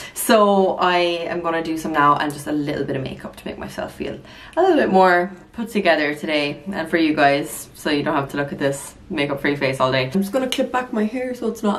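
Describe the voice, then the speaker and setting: A woman with an Irish accent talks at a fairly quick pace. Her fairly low voice has lively intonation. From Ireland. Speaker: lifestyle vlogger. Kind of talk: casual vlog talk to camera; sponsored product segment. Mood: relaxed, friendly. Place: bathroom. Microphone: phone near.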